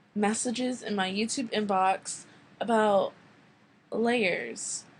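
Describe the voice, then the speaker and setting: A woman's somewhat breathy voice, fairly high in pitch, with fairly even intonation. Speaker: digital art tutorial maker. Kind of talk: software tutorial voiceover. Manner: hesitant, frequent pauses; casual, playful.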